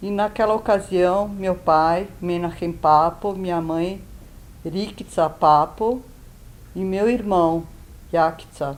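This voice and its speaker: With long, frequent pauses, a woman talks very slowly at a fairly low pitch. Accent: Serbo-Croatian. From Yugoslavia, Belgrade. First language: Serbo-Croatian (speaking Portuguese). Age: 70s. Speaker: Holocaust survivor. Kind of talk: testimony. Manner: hesitant, with fillers.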